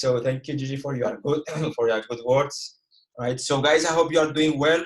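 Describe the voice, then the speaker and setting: With a Cypriot accent, a man speaks at a fairly high pitch and a moderate pace, his intonation fairly even. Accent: Greek Cypriot. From Cyprus. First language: Greek. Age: 20s. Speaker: forex trader and educator. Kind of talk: trading webinar. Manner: halting.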